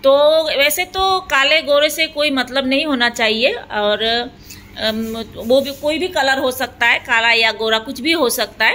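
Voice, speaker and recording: A woman projects a raised voice at a high pitch, with ordinary pitch variation and noticeable background noise. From Assam, India. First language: Assamese (speaking Hindi). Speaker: beauty parlour owner and trainer. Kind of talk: tutorial narration over demonstration. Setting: beauty parlour. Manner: hesitant, many filler sounds.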